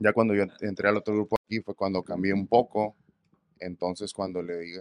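Dry and close with no echo, a man's voice moves along at a fairly quick pace. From Mexico, Ensenada, Baja California. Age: 30s. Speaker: musician, requinto guitarist. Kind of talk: casual chat. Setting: studio.

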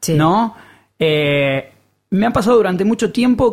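Someone with a Rioplatense accent talks at a fairly slow pace. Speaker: podcast host. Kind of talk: interview.

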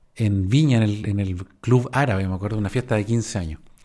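A man with a Chilean accent speaks with ordinary pitch variation against a quiet background. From Chile, Valparaíso region. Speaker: podcaster. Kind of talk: casual storytelling monologue.

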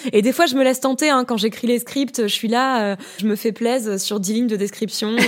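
Over noticeable background noise, a woman speaks fairly quickly at a fairly high pitch with ordinary pitch variation. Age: 30s. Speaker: podcaster and art historian. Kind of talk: casual interview.

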